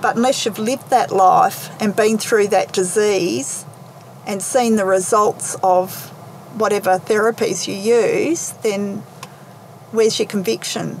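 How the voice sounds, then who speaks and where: A woman talks at a fairly slow pace with an Australian accent and ordinary pitch variation. There is noticeable background noise. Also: fairly high pitch for a woman. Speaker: naturopath's daughter. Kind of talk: interview. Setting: in a parked car.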